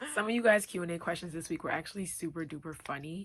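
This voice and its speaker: A woman with an American accent speaks in a fairly low pitch with ordinary pitch variation. The recording is very clean, with a silent background. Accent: New York accent (she is unsure). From Long Island, New York. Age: 20s. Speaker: YouTube talk show host. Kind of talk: casual vlog monologue.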